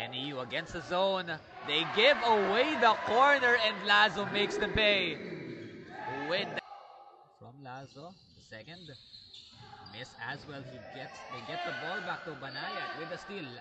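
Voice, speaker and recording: Speech comes at a fairly slow pace with long, frequent pauses and big swings in loudness. Very wide pitch swings stand out against noticeable background noise. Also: man, high pitch for a man. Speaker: basketball commentator. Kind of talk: live sports commentary. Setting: courtside at a sports venue, live. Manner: excited, animated, with laughs.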